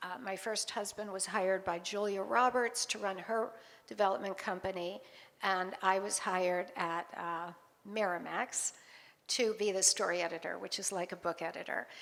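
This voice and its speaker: A woman speaks in an ordinary speaking voice at a medium pitch. Her pace is moderate and her intonation fairly even. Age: 60s. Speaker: author. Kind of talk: interview at book launch event.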